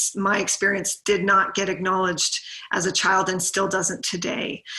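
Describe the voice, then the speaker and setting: Noticeable background noise behind a woman speaking fairly slowly at a medium pitch. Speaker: sibling advocate and educator. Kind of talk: conference presentation. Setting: virtual conference. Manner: hesitant, many fillers.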